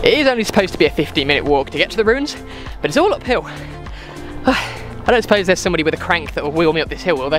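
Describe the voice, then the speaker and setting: A man talks at a very fast pace, with clear music playing behind him. The sound is dry, with no echo. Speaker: travel vlogger. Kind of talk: casual vlog chat. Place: street. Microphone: phone near.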